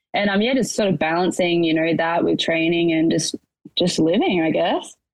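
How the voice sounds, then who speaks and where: Fairly low-pitched woman with an Australian accent, fairly quick pace and fairly even intonation. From Australia, rural Victoria (Portland). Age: 20s. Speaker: challenge winner, racehorse worker. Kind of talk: casual interview.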